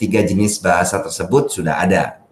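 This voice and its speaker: With ordinary pitch variation, the man's speech moves along at a moderate pace. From Jakarta, Indonesia. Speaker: language expert, teacher of online language classes. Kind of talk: podcast interview.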